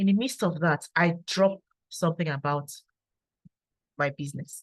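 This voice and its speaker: Somewhat breathy and fairly low in pitch, a woman talks at a moderate pace. Her pitch varies in an ordinary way. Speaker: engineer and network marketer. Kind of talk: testimony. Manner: calm and quiet.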